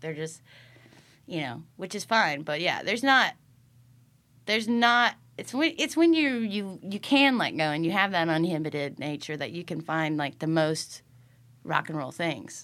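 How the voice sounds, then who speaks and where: A woman speaks at a moderate pace with an American accent, her pitch swinging very widely and her loudness rising and falling sharply. The recording is very clean, with a silent background. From US Midwest (Iowa/Illinois). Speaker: rock musician, bandleader. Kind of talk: casual interview chat.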